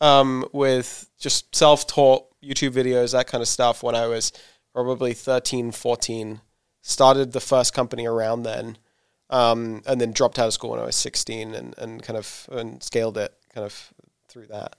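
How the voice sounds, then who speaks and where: At a moderate pace, a man with a southern English accent speaks at a medium pitch with ordinary pitch variation and big swings in loudness, in a very clean, silent recording that sounds dry and close with no echo. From southern England. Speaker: startup founder and CEO. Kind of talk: interview. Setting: in-person in an office.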